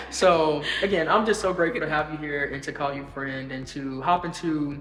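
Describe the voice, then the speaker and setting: Someone with an American accent speaks at a moderate pace over background music. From US South, South Carolina. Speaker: podcast host. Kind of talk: casual interview over wine. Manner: conversational.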